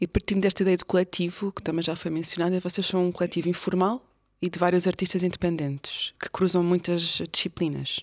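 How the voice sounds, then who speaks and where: The recording is very clean, with a silent background and a dry, close sound with no echo. The speaker talks fairly quickly in a European Portuguese accent, with monotone, flat intonation. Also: woman, fairly low pitch for a woman. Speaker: podcast host. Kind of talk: casual interview.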